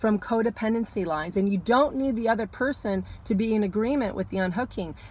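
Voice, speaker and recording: Somewhat breathy, a woman speaks at a moderate pace and a fairly high pitch with ordinary pitch variation. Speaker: astrologer. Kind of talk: casual talk to camera, weekly astrology forecast. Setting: parked car.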